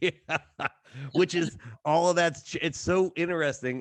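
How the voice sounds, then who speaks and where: Over a quiet background, a man with a Southern US accent speaks at a moderate pace. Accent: Southern-sounding. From Ohio, Kentucky-migrant area. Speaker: podcast host. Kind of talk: casual chat. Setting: studio. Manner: halting.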